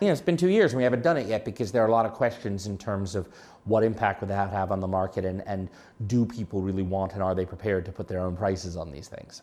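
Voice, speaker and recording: Talking at a very fast pace, a man with an American accent uses a fairly low pitch. His tone is dark and mellow. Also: ordinary pitch variation. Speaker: fintech company executive chairman. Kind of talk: podcast interview.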